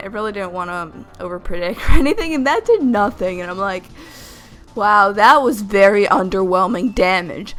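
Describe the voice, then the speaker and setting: Over music in the background, a woman at a medium pitch talks at a moderate pace with ordinary pitch variation. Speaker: gaming youtuber. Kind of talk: gameplay commentary. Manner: stumbling over words; casual.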